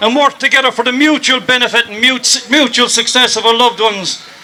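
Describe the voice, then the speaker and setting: A raised, projected voice with an Irish accent at a moderate pace, fairly even intonation, and noticeable background noise. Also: man. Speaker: storyteller. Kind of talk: protest rally speech.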